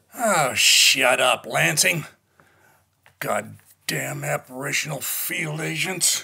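A man puts on a raspy, gruff character voice at medium pitch and speaks at a very slow pace. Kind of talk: 1960s cold war radio drama. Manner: gruff, impatient, profane.

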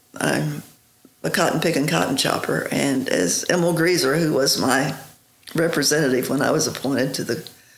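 Amid audible room echo, a woman's pitch varies in an ordinary way. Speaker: interview guest. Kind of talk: interview answer. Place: office.

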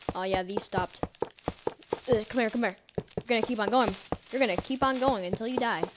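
Over noticeable background noise, a woman talks at a very fast pace and a fairly high pitch with ordinary pitch variation, leaving long, frequent pauses. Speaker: gaming youtuber. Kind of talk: gameplay commentary. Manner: animated.

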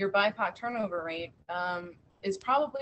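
With an American accent, the speaker goes at a fairly slow pace with ordinary pitch variation. Light background noise is present. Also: woman. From Washington DC, US. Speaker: museum public programs head; panelist. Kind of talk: panel discussion. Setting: video call. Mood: earnest, thoughtful. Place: home room. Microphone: video call.

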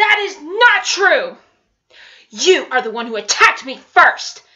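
A woman puts on a character voice at an extremely high pitch, with very wide pitch swings. She speaks at a fairly slow pace, with big swings in loudness. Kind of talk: acted film scene reenactment. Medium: voice reel. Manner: haughty, dismissive. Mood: defensive.

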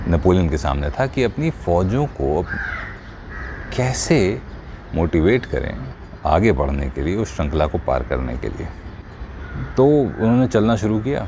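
With a very deep, low pitch and very wide swings, a man talks at a fairly slow pace, leaving long, frequent pauses over light background noise. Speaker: voice artist. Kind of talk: motivational storytelling.

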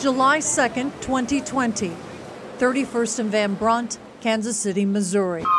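Noticeable background noise sits behind a woman with a fairly high pitch and ordinary pitch variation. She speaks at a fairly slow pace with very even loudness. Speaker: TV news reporter. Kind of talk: scripted narration.

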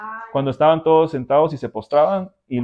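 There is a quiet background. The speaker is a man. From Guatemala. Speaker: interviewee. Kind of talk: testimony. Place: home room. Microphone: lapel.

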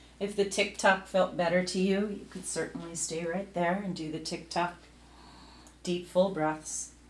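In a room with audible echo, a woman talks at a moderate pace in a calm tone, her intonation monotone and flat. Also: medium pitch for a woman. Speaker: yoga instructor. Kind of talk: guided yoga class with step-by-step cues. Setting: home video workout. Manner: calm, instructive, steady pacing. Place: home room. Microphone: camera far.

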